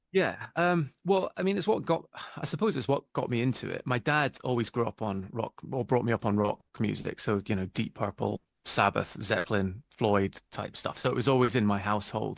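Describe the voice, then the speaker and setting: Lively intonation marks this man's medium-pitched voice as he talks at a moderate pace. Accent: British. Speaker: album cover artist. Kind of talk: interview.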